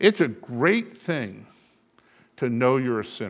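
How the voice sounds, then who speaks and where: His pitch rises and falls over a very wide range. The voice belongs to a man. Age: 70s. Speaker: bishop preaching. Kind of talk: sermon. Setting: church.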